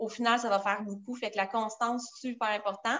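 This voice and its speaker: A woman speaks with a Quebec accent. Her pitch is fairly high and her intonation fairly even. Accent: Québécois French. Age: 30s. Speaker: direct sales director. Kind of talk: casual interview.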